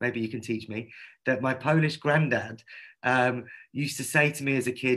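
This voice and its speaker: A man's bright, sharp medium-pitched voice in a London accent, with ordinary pitch variation. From London, England. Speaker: activist and artist. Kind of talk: online panel discussion. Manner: fast.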